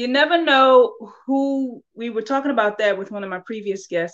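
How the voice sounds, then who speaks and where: With an American accent, a woman speaks at a moderate pace in an ordinary speaking voice with lively intonation. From Baltimore, Maryland. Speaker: podcast host. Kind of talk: casual chat.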